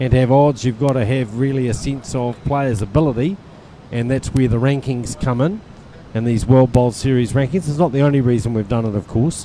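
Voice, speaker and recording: Against noticeable background noise, a man of medium pitch speaks at a fairly quick pace with ordinary pitch variation. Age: 60s. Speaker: lawn bowls sports administrator. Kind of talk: interview during live stream of tournament.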